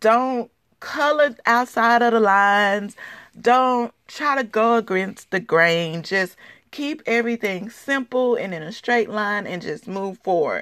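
Over a quiet background, a woman speaks at a fairly slow pace in an ordinary speaking voice. Her pitch is fairly high, with ordinary variation. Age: 30s. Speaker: podcast host. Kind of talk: solo motivational talk.

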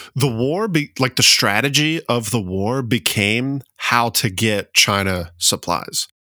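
A very clean recording with a silent background of a man with a Southern US accent. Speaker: history podcast co-host. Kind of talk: casual chat. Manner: animated.

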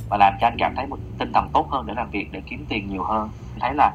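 A man's very fast speech with vocal fry. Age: 30s. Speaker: office worker, podcast guest. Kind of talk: casual chat.

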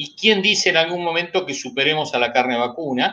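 This man has a bright, sharp tone at a fairly high pitch. His pitch varies in an ordinary way. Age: 60s. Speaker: animal science engineer, pork industry association leader. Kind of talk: interview.

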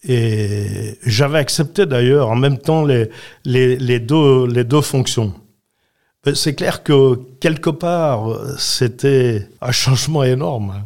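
Very slow and very even in loudness, a man talks at a medium pitch with ordinary pitch variation. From Switzerland, Valais (Saxon). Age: 80s+. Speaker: retired politician. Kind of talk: interview.

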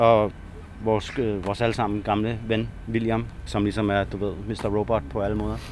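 The delivery moves at a moderate pace with fairly even intonation. It is an unremarkable speaking voice. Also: man, fairly low pitch for a man. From Denmark, Næstved. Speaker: graffiti writer. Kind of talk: casual interview.

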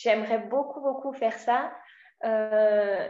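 With fairly even intonation, a woman speaks at a fairly high pitch in a dark, mellow tone. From France, Mâcon area north of Lyon. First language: French (speaking Spanish). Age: 20s. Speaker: French teacher. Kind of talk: casual interview.

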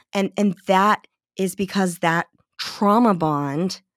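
A woman at medium pitch and a very slow pace, with a dry, close sound with no echo on a very clean recording with a silent background. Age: 40s. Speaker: author. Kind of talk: interview.

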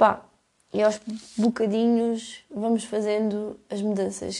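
A woman in a European Portuguese accent speaks at a medium pitch with monotone, flat intonation. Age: 20s. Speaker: podcaster. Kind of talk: casual monologue. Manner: halting.

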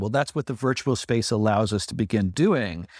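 In a very clean recording with a silent background, a man speaks at a fairly quick pace in an ordinary speaking voice, medium in pitch with ordinary pitch variation and a dry, close sound with no echo. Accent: American. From United States. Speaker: creative community member. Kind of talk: casual chat.

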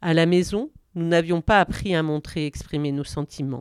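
With a dry, close sound and no echo, a woman speaks fairly slowly in a normal speaking voice at a fairly low pitch. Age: 50s. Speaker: psychiatric nurse. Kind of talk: personal testimony. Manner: reading a prepared text.

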